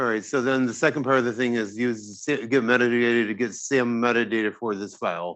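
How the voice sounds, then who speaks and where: Moving at a fairly quick pace with hardly any pauses, a man talks in an ordinary speaking voice with fairly even intonation. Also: medium pitch for a man. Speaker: physicist giving a computing tutorial. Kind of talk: tutorial.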